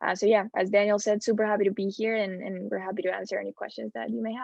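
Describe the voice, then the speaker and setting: A woman's medium-pitched voice with ordinary pitch variation and a Spanish accent. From Spain. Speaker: student panelist. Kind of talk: panel talk.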